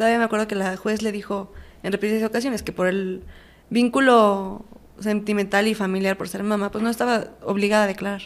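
Here a woman speaks at a medium pitch and a fairly quick pace, in a monotone, flat intonation. The recording is very clean, with a silent background. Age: 20s. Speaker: prison inmate. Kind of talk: testimony.

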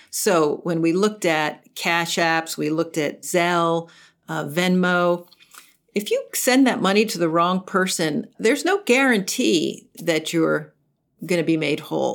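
An unremarkable speaking voice moves at a fairly slow pace on a very clean recording with a silent background. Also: woman, fairly low pitch for a woman, ordinary pitch variation. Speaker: consumer advocacy nonprofit head. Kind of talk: interview.

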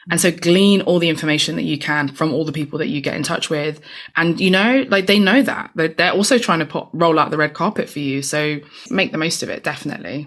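With a London accent, a woman talks at a fairly quick pace, her fairly low pitch moving in lively intonation. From East London. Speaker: tech nonprofit founder and author. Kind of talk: interview conversation.

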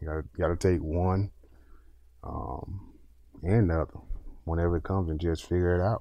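With a very deep, low pitch and a dark, mellow tone, a man speaks in fairly even intonation. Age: 30s. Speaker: retired football player. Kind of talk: casual chat. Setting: studio.

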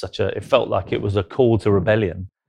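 The speaker talks with a London accent over a quiet background. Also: man. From South London. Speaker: artist, former advertising executive. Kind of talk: interview conversation.

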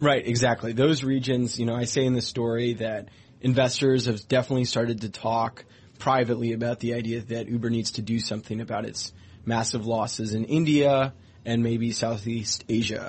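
A somewhat breathy man at medium pitch, at a fairly quick pace, in a monotone, flat intonation. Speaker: tech reporter. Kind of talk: radio business interview. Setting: studio.

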